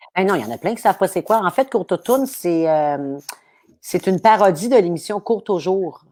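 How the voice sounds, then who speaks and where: On a very clean recording with a silent background, a woman with a Quebec accent speaks fairly quickly at medium pitch, her tone dark and mellow and her intonation lively. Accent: regional Quebec French. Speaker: comedian. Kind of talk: casual chat. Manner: animated; fast.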